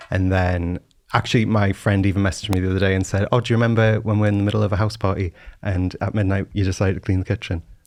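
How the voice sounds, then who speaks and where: Speaking very fast in a Geordie accent, a man keeps a fairly low pitch, a monotone, flat intonation and very even loudness against a quiet background. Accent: Geordie, coastal variety. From Newcastle, northeast England (Whitley Bay). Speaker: cleaning influencer. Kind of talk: casual chat.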